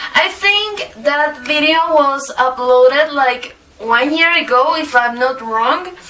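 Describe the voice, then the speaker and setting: A woman with a Latin American accent uses a raised, projected voice and lively intonation. There is light background noise. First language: Spanish. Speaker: makeup youtuber. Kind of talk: makeup tutorial. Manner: halting. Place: home room.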